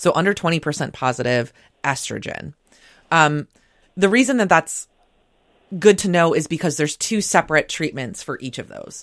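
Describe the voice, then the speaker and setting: A woman with an unremarkable speaking voice talks at a moderate pace and fairly low pitch, with lively intonation and big swings in loudness. The sound is dry and close with no echo, on a very clean recording with a silent background. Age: 30s. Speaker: breast cancer survivor. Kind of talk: radio interview. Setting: studio.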